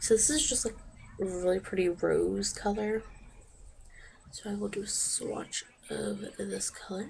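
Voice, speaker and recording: Long, frequent pauses break up speech at a fairly slow pace, with noticeable background noise throughout. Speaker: beauty vlogger. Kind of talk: product review tutorial. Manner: casual, chatty.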